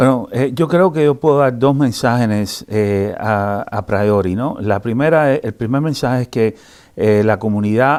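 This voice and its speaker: A man with a Cuban accent speaks at a fairly slow pace. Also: medium pitch for a man, ordinary pitch variation. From Cuba, Havana. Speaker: sociology professor. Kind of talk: interview. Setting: newspaper building interview. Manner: halting, many fillers.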